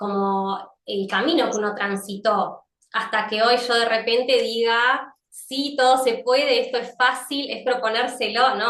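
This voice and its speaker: With a Rioplatense accent, a woman speaks at a fairly slow pace, her pitch fairly high and her intonation fairly even. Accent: Argentine Rioplatense Spanish. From Argentina, Lincoln (Buenos Aires province). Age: 40s. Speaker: psychologist and yoga teacher. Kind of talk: interview testimony.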